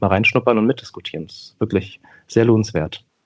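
A man with a plain, everyday voice, fairly low pitch and fairly even intonation talks at a fairly quick pace against a quiet background. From Berlin-Neukölln, Germany. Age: 30s. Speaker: politician and teacher. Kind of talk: interview conversation.

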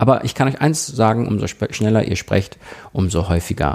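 A man talks at a moderate pace. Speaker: podcast host and radio presenter. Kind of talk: solo podcast tips talk.

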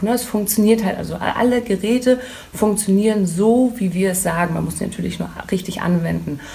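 A woman at a moderate pace over noticeable background noise. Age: 30s. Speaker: hair tool sales rep. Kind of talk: interview. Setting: hair salon boutique.

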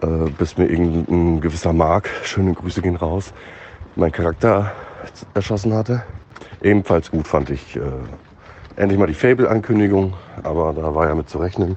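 Against noticeable background noise, a man with a very deep, low pitch speaks at a moderate pace, pausing long and often. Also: ordinary pitch variation. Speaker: gaming commentator. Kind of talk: voice message. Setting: outdoors, walking to bakery.

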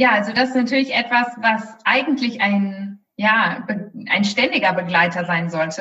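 A woman with a bright, sharp tone and fairly high pitch, at a moderate pace with ordinary pitch variation. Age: 20s. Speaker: career and life coach. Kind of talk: interview.

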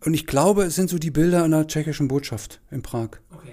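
Fairly high for a man, this male voice has a dark, mellow tone and fairly even intonation. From Saxony-Anhalt, Halle district, small town. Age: 50s. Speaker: former police officer. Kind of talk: casual interview.

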